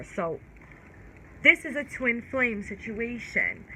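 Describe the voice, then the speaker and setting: A woman with a fairly high pitch speaks in an American accent. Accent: New York accent, strong at times. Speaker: tarot reader. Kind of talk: casual tarot reading and candle magic talk. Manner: casual, stumbling over words.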